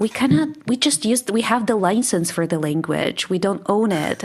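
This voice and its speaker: A woman with a Russian accent speaks at a fairly slow pace with lively intonation. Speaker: English teacher. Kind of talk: casual chat.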